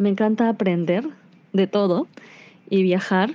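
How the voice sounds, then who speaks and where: A woman's dark, mellow voice at a medium pitch, with fairly even intonation and a very slow pace, against a quiet background. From Peru, Iquitos (Amazon) then Lima. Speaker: education program coordinator. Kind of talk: recorded voice message answers.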